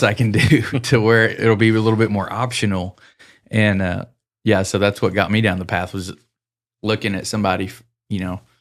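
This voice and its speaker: Speaking with an American accent, a man uses a fairly low pitch and fairly even intonation at a fairly quick pace. He leaves long, frequent pauses, and the recording is very clean with a silent background. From US, northeast Colorado. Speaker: mental performance coach, former rodeo roper. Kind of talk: casual interview chat.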